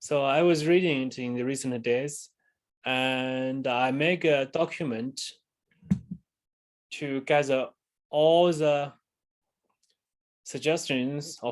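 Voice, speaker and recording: The man's voice sits at a medium pitch. His intonation is fairly even. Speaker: university lecturer. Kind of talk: lecture. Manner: halting.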